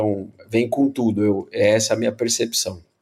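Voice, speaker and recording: Noticeable background noise runs beneath the recording. A man speaks at a moderate pace. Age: 50s. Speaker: bicycle company owner. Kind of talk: casual interview.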